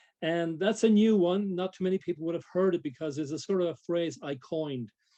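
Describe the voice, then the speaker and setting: A man with a dark, mellow tone and fairly high pitch, moderate pace, quiet background. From Ireland. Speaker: e-learning trainer. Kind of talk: interview.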